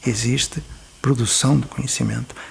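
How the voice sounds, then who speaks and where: Noticeable background noise sits under the speech. The speaker talks at a moderate pace with a European Portuguese accent. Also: man. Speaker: educator. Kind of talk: documentary interview. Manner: formal.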